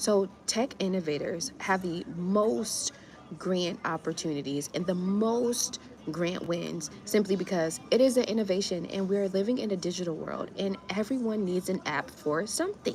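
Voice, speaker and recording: An animated voice with an American accent at a moderate pace, ordinary pitch variation, and music playing in the background. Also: woman, medium pitch for a woman. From US, Miami. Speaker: grant writer and small business coach. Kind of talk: livestream chat. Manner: casual, animated.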